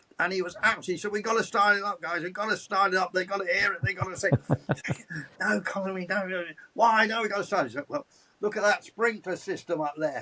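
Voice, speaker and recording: A man's raised, projected voice, high-pitched with ordinary variation, at a very fast pace over noticeable background noise. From England. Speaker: motorsports commentator. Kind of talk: interview answer.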